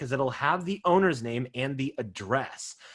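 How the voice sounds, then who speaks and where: A man's voice with very wide pitch swings. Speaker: software trainer for real estate agents. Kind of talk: webinar tutorial. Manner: fast.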